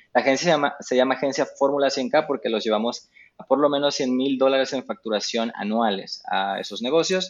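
Using a plain, everyday voice, a man keeps to a medium pitch with ordinary pitch variation. He moves at a fairly quick pace. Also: hardly any pauses. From Mexico. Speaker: digital marketing expert. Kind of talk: casual interview. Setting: remote call.

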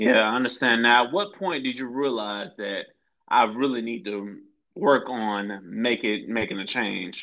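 An ordinary speaking voice comes from a man with an American accent at a medium pitch. He goes at a fairly slow pace with ordinary pitch variation. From Florida, Tampa. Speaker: podcast host. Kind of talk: casual interview chat.

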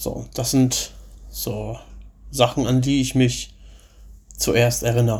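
The pace is very slow. Long pauses come often. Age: 30s. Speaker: podcaster. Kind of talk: personal storytelling monologue. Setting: at workplace.

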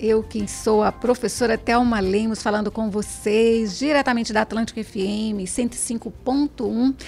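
With music in the background, a woman of fairly high pitch speaks at a fairly slow pace with fairly even intonation and hardly any pauses. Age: 60s. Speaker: radio host and teacher. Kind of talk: radio interview. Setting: radio studio.

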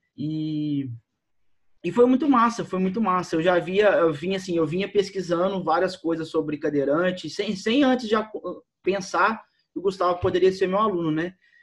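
His pitch is high, shifting with ordinary variation. The man keeps to a moderate pace. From Minas Gerais, Brazil. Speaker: CrossFit coach. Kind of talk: casual chat.

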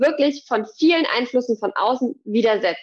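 A woman speaks in a plain, everyday voice at a fairly quick pace. Her pitch is fairly high, with ordinary pitch variation. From Hesse, Germany (near Gießen). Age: 30s. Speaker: fitness trainer. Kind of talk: casual interview.

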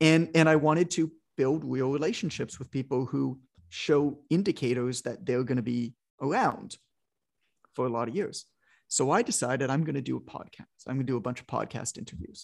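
A man talks at a fairly quick clip in a medium pitch, with ordinary pitch variation and an unremarkable speaking voice. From Canada, suburban Toronto. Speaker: fitness business educator and author. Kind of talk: interview.

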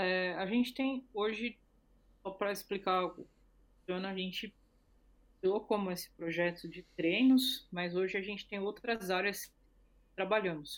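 Long, frequent pauses break up a woman's fairly slow speech at a medium pitch. Her intonation is fairly even, but her loudness swings widely. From Brazil. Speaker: co-founder of women's football project. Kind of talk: interview.

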